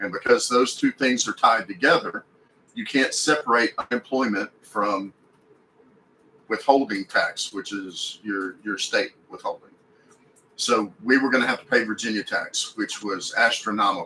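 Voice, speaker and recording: The speaker has a Texan accent. The pace is moderate. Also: man. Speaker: RV lifestyle YouTuber. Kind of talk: livestream Q&A. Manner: casual, hesitant with repetitions.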